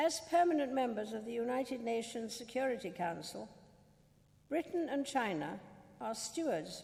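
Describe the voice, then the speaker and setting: Speaking fairly slowly, a woman has a high pitch and a dark, mellow tone. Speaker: monarch giving a state speech. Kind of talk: formal state banquet speech. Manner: formal, measured.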